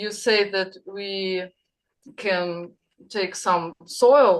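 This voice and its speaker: Fairly even intonation in a Russian accent. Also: woman. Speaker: participant in spiritual group session. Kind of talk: sharing in group video call. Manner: halting, searching for words.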